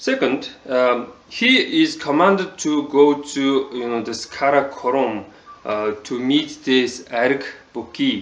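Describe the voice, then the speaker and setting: A man's fairly high voice at a very slow pace, with ordinary pitch variation and noticeable background noise. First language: Mongolian. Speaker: TV show reviewer. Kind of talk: casual video review. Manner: halting, many fillers.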